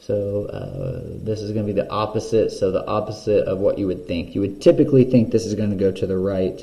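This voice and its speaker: A man talks at a fairly quick pace in an ordinary speaking voice. His pitch sits fairly low. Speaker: math teacher. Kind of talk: tutorial. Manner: casual.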